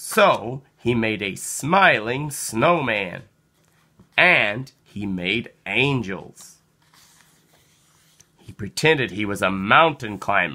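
A man speaks at a very slow pace, with long, frequent pauses and fairly low pitch. His tone is bright and sharp, and his intonation is lively.

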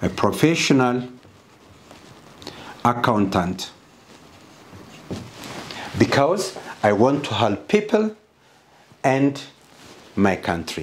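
A man speaks at a very slow pace with long, frequent pauses and big pitch swings, and room echo is audible. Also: medium pitch for a man.

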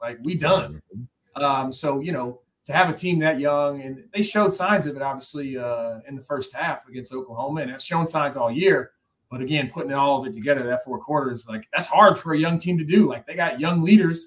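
This man has an unremarkable speaking voice with an American accent and a fairly high pitch. He moves at a fairly quick pace, with ordinary pitch variation and big swings in loudness. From Iowa (Ames). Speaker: former college football player. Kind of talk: casual chat.

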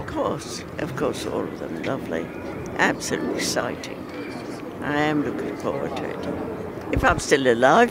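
A woman at a moderate pace with long, frequent pauses, dry sound with no echo and loud background noise. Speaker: Olympic torchbearer; exercise teacher for elderly. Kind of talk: interview answer. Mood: cheerful, amused. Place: street. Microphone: handheld.

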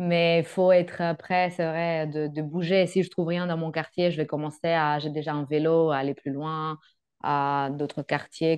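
The voice holds a flat monotone at a moderate pace over a quiet background. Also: woman. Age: 30s. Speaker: working holiday traveller, psychologist; guest. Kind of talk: interview. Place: home room. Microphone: video call.

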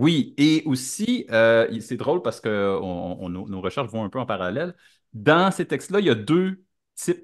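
The speaker has a Quebec accent and a very slow pace. The pitch swings very widely against a quiet background. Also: man. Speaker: podcast co-host. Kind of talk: casual chat. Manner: halting, many hesitations.

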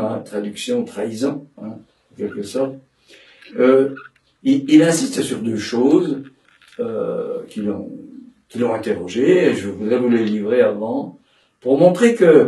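With audible room echo, a man speaks at a very slow pace, his loudness swinging widely. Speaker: psychoanalyst and dramatic tenor giving a seminar. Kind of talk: lecture. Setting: seminar room with audience. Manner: halting, many repetitions and fillers. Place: home room.

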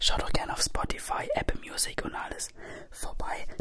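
A man is whispering at a fairly slow pace. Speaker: ASMR creator. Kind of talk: casual intro to camera. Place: home room. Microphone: studio mic.

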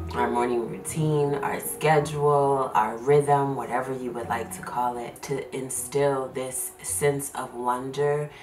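A woman speaks very slowly in a very deep, low voice with fairly even intonation. Light background noise and audible room echo accompany her. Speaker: homeschooling mom vlogger. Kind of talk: casual vlog chat. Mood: warm, relaxed, laughing. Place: home room.

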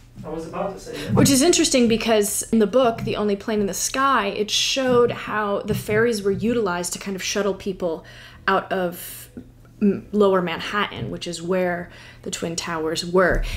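A woman with an American accent, a moderate pace and ordinary pitch variation. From US small town. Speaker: book YouTuber. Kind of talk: casual vlog-style chat. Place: home room.

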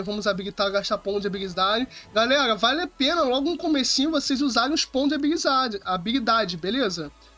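Intonation rises and falls in a lively way. The man's voice is raised and projected. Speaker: gaming streamer; game streamer. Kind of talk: live gameplay commentary. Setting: livestream. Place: home room. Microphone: headset.

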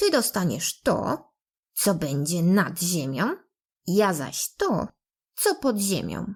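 In a put-on character voice, the speaker growls at a very slow pace with very wide pitch swings. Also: woman, medium pitch for a woman. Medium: read story.

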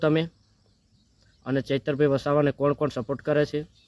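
A fairly high-pitched male voice, dry and close with no echo. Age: young. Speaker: social media commentator. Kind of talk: political monologue to camera. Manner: animated.

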